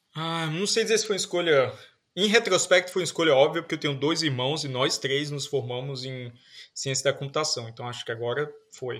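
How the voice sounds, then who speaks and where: On a very clean recording with a silent background, a man speaks in a plain, everyday voice. His pitch is fairly high, varies in an ordinary way, and he keeps a fairly quick pace. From Northeast Brazil, Paraíba. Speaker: computer science professor. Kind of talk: interview.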